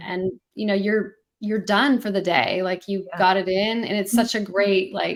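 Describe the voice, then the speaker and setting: Here is a woman with a normal speaking voice and a medium pitch. She talks fairly slowly with fairly even intonation. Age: 40s. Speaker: marathon runner, mother. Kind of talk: interview answer.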